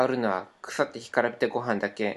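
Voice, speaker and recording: Here a man speaks at a moderate pace and medium pitch, with ordinary pitch variation. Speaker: podcast co-host. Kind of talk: reading aloud. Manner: stumbling over words.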